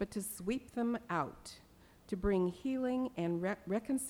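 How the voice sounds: Ordinary pitch variation shapes the speech. It comes in a natural reading voice.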